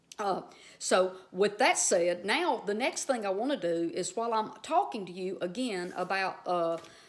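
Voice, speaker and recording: This woman has a strong Southern US accent and a medium pitch. Her intonation is lively. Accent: strong Southern US drawl. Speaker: Bible teacher. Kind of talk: casual video teaching. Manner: conversational, filler-heavy.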